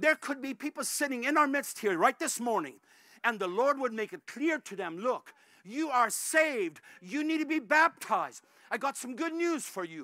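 A man speaks with an extremely high pitch, a bright, sharp tone and lively intonation. His delivery has a dramatic tone, a moderate pace and few pauses.

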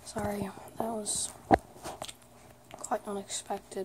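Someone whispers over noticeable background noise. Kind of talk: ASMR video. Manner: whispered, soft.

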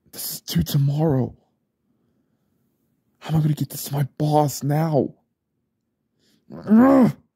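Slow and full of long, frequent pauses, a man's put-on character voice sits fairly high, with lively intonation, a husky, rough edge and a dark, mellow tone.

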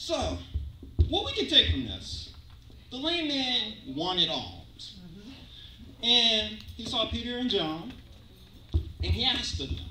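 Very slowly and with long, frequent pauses, a man speaks amid audible room echo and light background noise. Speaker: preacher. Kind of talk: sermon with call-and-response. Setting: church. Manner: animated, exclamatory, rhythmic pulpit delivery with interjections; audience-interactive, pausing for amens. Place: church.

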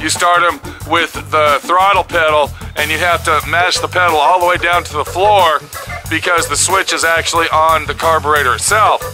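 Over clear background music, a man talks at a high pitch and a moderate pace with fairly even intonation. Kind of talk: tutorial. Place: open country. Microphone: phone near.

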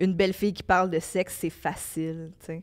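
A plain, everyday voice. The intonation stays fairly even. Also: woman. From Quebec, Laval; Quebec. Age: 30s. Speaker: podcast host. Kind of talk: casual chat. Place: studio. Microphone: handheld.

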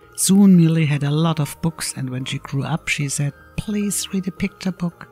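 A man speaks with music in the background. The sound is dry and close, with no echo. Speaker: amateur animator reading his own story. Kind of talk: read children's story. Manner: slow, clear.

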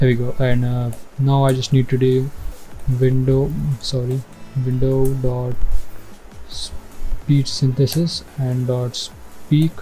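Over faint music in the background, a man speaks in a monotone, flat way at a very slow pace with long, frequent pauses. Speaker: coding tutorial host. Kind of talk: tutorial. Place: home room. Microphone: headset.

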